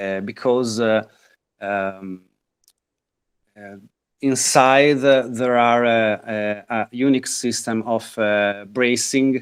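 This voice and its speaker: A man with an Italian accent at medium pitch, very slow pace, long and frequent pauses, and fairly even intonation, in a very clean recording with a silent background. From northern Italy. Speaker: guitar maker. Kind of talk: interview. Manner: halting, many fillers.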